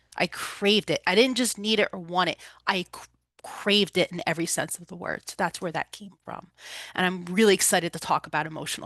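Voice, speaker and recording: A woman with a New Jersey accent talks at a fairly quick pace. The sound is dry and close with no echo, over a quiet background. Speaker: holistic recovery coach and energy healer. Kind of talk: presentation talk.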